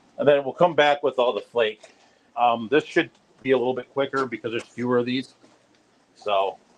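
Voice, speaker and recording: A man talks fairly quickly at medium pitch, with long, frequent pauses. His intonation stays fairly even. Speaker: fish keeping youtuber. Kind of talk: live stream tank tour. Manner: fast.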